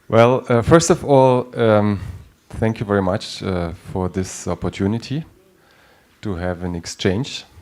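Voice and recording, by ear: Speaking at a fairly slow pace, a man with fairly low pitch shows ordinary pitch variation and a slightly mellow tone.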